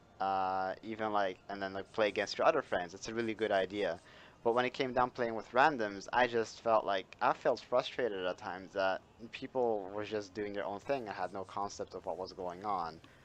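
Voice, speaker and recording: A non-native accent with ordinary pitch variation. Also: man, fairly low pitch for a man, moderate pace. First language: not English. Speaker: gaming YouTuber. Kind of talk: casual chat. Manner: hesitant, many fillers.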